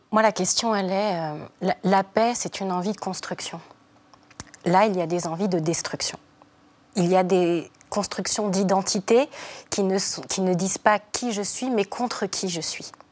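A woman with a medium-pitched voice talks fairly slowly, with fairly even intonation and long, frequent pauses. Noticeable background noise runs under her speech. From France. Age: 40s. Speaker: feminist activist. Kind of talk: TV panel debate.

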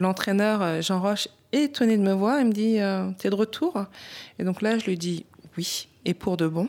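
Her voice is an ordinary speaking voice, a woman's at medium pitch. She talks at a fairly slow pace with ordinary pitch variation. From Paris, France. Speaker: boxer, champion. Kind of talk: testimony.

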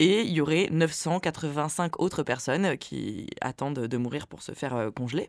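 Here a woman speaks with lively intonation on a very clean recording with a silent background. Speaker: podcast co-host. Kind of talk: casual chat with scripted segments.

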